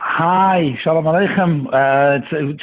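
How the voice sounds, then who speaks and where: Talking at a fairly quick pace, a man with a slight Manchester accent uses a fairly high pitch and fairly even intonation. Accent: slight Mancunian English. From England, Manchester and London. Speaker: singer and cantor. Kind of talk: casual interview.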